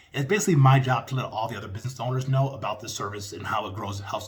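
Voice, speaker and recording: A man talks very fast in a somewhat breathy voice, his pitch varying in an ordinary way. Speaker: small business sales trainer. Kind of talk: tutorial with sales pitch role-play. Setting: video call.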